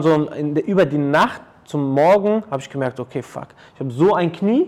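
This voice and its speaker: A man speaks in a plain, everyday voice, fairly high in pitch with ordinary pitch variation. His pace is fairly quick, and his loudness swings widely. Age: 30s. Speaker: athletic trainer and personal coach. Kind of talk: casual interview. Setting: his training studio.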